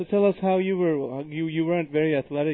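Talking at a fairly quick pace, a man with an unremarkable speaking voice has a fairly high pitch. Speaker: podcast host. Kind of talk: interview. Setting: studio.

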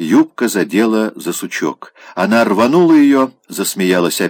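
A natural reading voice is heard with a quiet background behind it.

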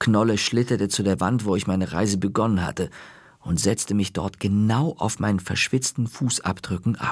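What you hear is a natural reading voice.

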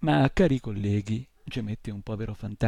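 Ordinary pitch variation marks this reading aloud in a natural voice.

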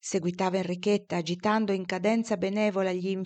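A passage read aloud in a natural voice.

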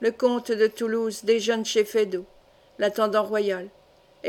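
The recording consists of plain reading aloud.

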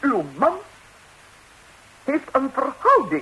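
A woman's put-on character voice, high in pitch and fairly bright in tone, with very wide pitch swings at a slow pace

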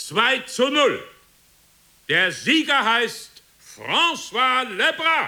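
At a very slow pace, a man uses a put-on character voice pitched extremely high, with a bright, sharp tone, big pitch swings and audible room echo.

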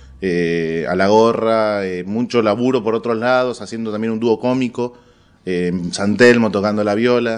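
Speaking with a Rioplatense accent, a man uses a fairly low pitch and ordinary pitch variation at a fairly slow pace. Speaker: stand-up comedian. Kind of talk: casual interview.

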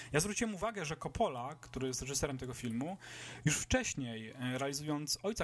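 This man has a fairly high pitch and an ordinary speaking voice, speaking at a moderate pace. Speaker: film podcast host. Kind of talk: casual chat.

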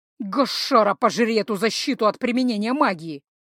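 A put-on character voice at a fairly high pitch hisses and growls at a fairly quick pace on a very clean recording with a silent background. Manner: hissing, furious.

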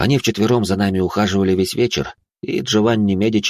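With a quiet background, the reading aloud comes in a natural voice whose intonation is fairly even.

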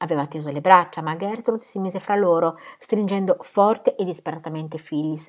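Ordinary pitch movement in an unforced, read-aloud voice.

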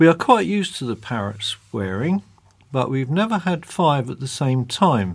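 A man with a British accent, somewhat breathy, at medium pitch and a moderate pace, with very wide pitch swings. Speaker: magazine host. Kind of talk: casual chat, magazine presenting.

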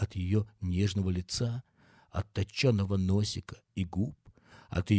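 The reading aloud is plain. Its intonation is fairly even.

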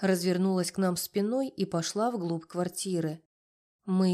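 Reading aloud in a natural voice, with fairly even intonation and a quiet background.

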